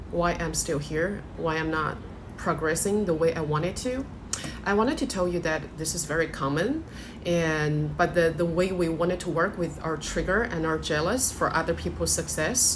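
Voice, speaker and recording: In a room with audible echo, a woman with a non-native accent speaks at a moderate pace, her fairly low pitch showing ordinary variation. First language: not English. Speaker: life coach. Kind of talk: motivational talk to camera. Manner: hesitant, with fillers.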